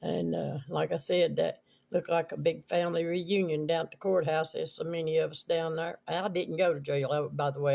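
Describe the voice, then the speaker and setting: A man with an Appalachian accent talks at a moderate pace. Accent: Southern Appalachian American. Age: 70s. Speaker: video blogger. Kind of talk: casual storytelling. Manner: rambling, halting with fillers.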